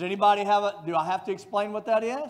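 This man talks at a fairly quick pace. His voice is high-pitched with ordinary pitch variation. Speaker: pastor. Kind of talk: sermon. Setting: church. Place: church. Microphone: headset.

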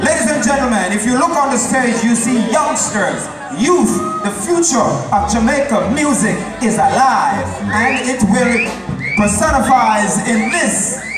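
Clear music plays in the background, with audible room echo. The pace is fairly slow. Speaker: event MC. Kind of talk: stage announcement. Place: stage.

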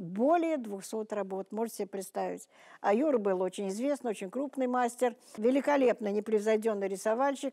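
A woman speaks at a moderate pace with a fairly high pitch, ordinary pitch variation, and a dark, mellow tone against a quiet background. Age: 80s+. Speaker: art historian, museum worker; interview guest. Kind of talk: interview with children. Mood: admiring, reminiscing. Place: studio.

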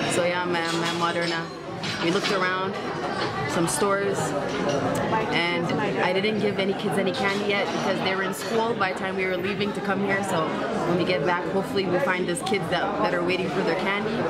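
Crowd noise fills the background. A woman talks at a fairly quick pace. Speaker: travel vlogger. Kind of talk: casual vlog chat. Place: cafe. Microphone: phone near.

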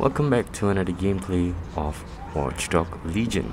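A man speaks with a very deep, low pitch at a fairly slow pace. Noticeable background noise runs under his voice. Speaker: gaming YouTuber. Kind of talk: gameplay commentary. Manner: animated.

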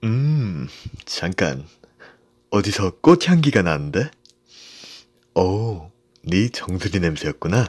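A man's fairly low, playful voice at a very slow pace, with very wide pitch swings and long, frequent pauses.

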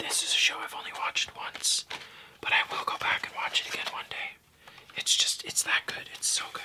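Whispering in a relaxed tone, a man speaks at a fairly quick pace. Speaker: ASMR creator. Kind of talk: ASMR casual talk to camera. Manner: soft-spoken, relaxed. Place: home room.

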